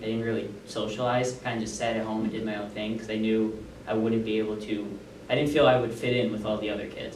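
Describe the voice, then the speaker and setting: Flat and monotone, a man's medium-pitched voice comes through audible room echo and noticeable background noise. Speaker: student giving a class presentation on stuttering. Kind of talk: class presentation speech. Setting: classroom with audience. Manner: casual, with fillers.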